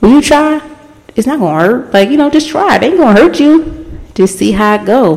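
A woman talking at a fairly quick pace with very wide pitch swings over noticeable background noise. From Baltimore, US. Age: 20s. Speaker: podcast host. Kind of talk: casual solo monologue. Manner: laughs often.

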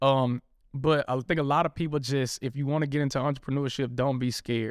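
The recording is very clean, with a silent background. A man speaks at a medium pitch in an American accent. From Memphis, Tennessee. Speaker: gym owner and personal trainer. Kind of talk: interview.

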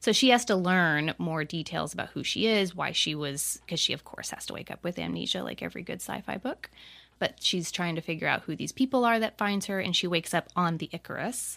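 A woman with a fairly low, fry-tinged voice talks at a fairly quick pace with hardly any pauses. Her pitch varies in an ordinary way. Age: 40s. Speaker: self-published author. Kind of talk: casual chat.

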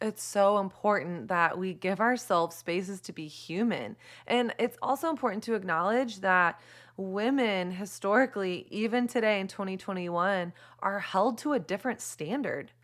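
A woman with an American accent has a normal speaking voice at a medium pitch and lively intonation. She keeps a moderate pace in a very clean recording with a silent background. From Texas. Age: 30s. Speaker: author. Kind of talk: podcast interview.

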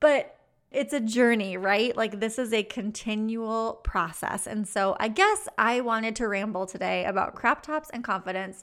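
A plain, everyday voice moves at a moderate pace with hardly any pauses and ordinary pitch variation, on a very clean recording with a silent background. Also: woman, fairly high pitch for a woman. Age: 30s. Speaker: podcast host, business coach. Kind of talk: solo podcast monologue. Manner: casual, laughs often.

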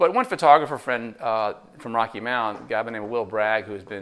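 A man with an American accent talks at a very fast pace and a medium pitch. The recording is very clean, with a silent background. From New Jersey. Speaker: photographer. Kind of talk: interview.

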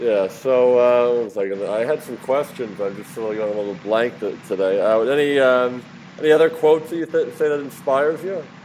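Noticeable background noise runs under a man speaking with an American accent at a moderate pace and ordinary pitch variation. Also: medium pitch for a man. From Philadelphia, US. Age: 30s. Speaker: podcast interviewer. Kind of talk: casual interview. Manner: halting, many fillers.

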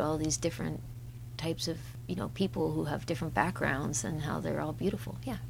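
A woman at a very fast pace. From Canada. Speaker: singer-songwriter. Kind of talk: casual interview.

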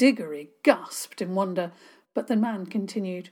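Ordinary variation in pitch across a plain read-aloud delivery.

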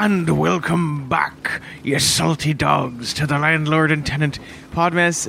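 A man puts on a character voice at a fairly high pitch. He goes at a fairly slow pace over clear background noise. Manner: funny, jokey.

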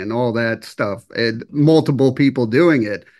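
A man's normal speaking voice at medium pitch, with ordinary pitch variation and a fairly slow pace. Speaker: interviewer. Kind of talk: casual interview.

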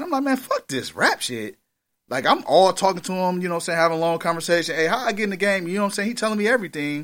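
A high-pitched man at a very fast pace with lively intonation. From Milwaukee, Wisconsin. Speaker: rapper. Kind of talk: casual interview.

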